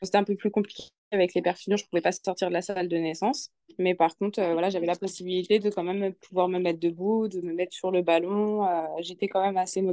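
A woman speaks very fast in a flat, monotone delivery. Her tone is dark and mellow. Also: medium pitch for a woman. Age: 20s. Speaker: new mother sharing birth story. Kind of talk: interview testimony. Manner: halting.

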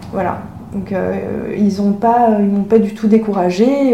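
Amid audible room echo and noticeable background noise, a woman speaks at a moderate pace and medium pitch with ordinary pitch variation. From France (Paris), from age 6. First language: Chinese (speaking French). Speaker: author and illustrator, former engineer. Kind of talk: interview conversation.

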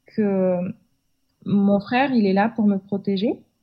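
A woman with a Kazakh accent speaks at a fairly slow pace, her voice somewhat breathy and her intonation fairly even. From Kazakhstan, Almaty. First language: Kazakh (speaking French). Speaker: podcast guest. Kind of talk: interview conversation. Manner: halting, many hesitations.

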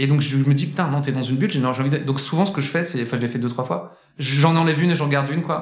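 A man with a fairly high, somewhat breathy voice talks at a very fast pace. His pitch varies in an ordinary way, and there is audible room echo. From France, Saint-Étienne. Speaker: singer and content entrepreneur. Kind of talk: casual interview. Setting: indoor room at his workplace.

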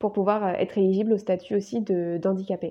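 A woman's plain, everyday voice at medium pitch, fairly quick and fairly even in intonation. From France, Bordeaux region. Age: 20s. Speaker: naturopath and coach, podcast host. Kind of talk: personal story monologue.

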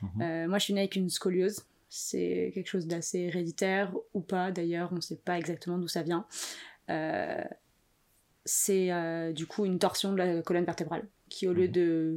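A woman speaks at a fairly low pitch in a monotone, flat way with long, frequent pauses. The recording is very clean, with a silent background. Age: 20s. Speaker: podcast guest, freelancer. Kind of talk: personal testimony interview.

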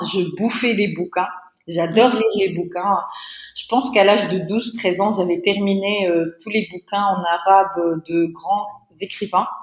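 Against noticeable background noise, a woman speaks at a fairly slow pace with a medium pitch and fairly even intonation. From Tunisia. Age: 30s. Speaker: entrepreneur. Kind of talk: interview.

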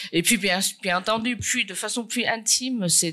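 The voice has a bright, sharp tone and fairly even intonation, delivered at a fairly slow pace. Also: woman. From China. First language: Chinese (speaking French). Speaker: painter. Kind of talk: conference talk. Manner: halting, many repetitions.

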